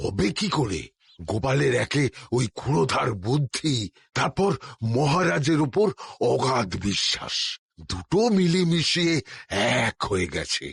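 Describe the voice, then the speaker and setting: In a cartoonish character voice, a man talks at a fairly slow pace with medium pitch and very wide pitch swings. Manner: grumbling.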